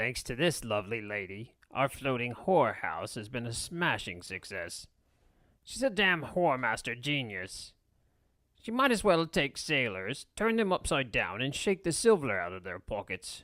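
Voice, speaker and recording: A man's put-on character voice at medium pitch, moderate pace and very wide pitch swings. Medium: read story.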